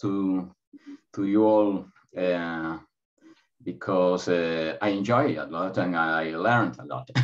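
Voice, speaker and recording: This man speaks with a Spanish accent. His pitch varies in an ordinary way. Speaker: academic presenter. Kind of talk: academic presentation. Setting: video call.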